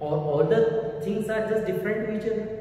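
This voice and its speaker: Strong room echo surrounds a man with a high-pitched voice, with light background noise. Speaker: teacher. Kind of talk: lecture. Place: classroom.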